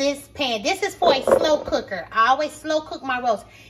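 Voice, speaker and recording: Music in the background plays under a woman's voice. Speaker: home cook vlogger. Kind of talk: casual cooking tutorial. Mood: warm, playful. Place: kitchen. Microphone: phone near.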